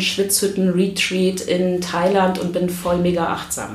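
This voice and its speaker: Over noticeable background noise and audible room echo, a woman speaks fairly slowly at a medium pitch with fairly even intonation. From Berlin, Germany. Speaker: podcast host, stress management coach. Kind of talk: casual interview. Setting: publisher's office.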